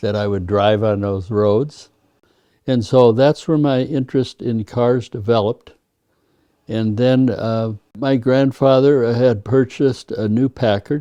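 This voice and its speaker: The voice has a dark, mellow tone and an Upper Midwest accent. The background is quiet. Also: man. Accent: Upper Midwest American. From US Upper Midwest, North Dakota (Devil's Lake, Fargo). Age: 80s+. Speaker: retired car show judge and collector. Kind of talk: interview storytelling. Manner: hesitant with repetitions.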